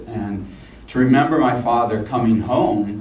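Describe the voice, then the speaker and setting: A man with a General American accent keeps his intonation fairly even. Audible room echo and noticeable background noise surround him. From Washington DC. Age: 60s. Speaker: son of a public official. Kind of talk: interview. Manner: halting.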